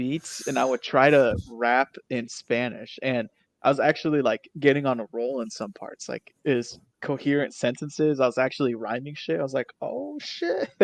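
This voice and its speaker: A man speaks in an ordinary speaking voice at medium pitch and a moderate pace, with ordinary pitch variation. The sound is dry and close, with no echo. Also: quiet background. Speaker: podcast co-host. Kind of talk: casual chat.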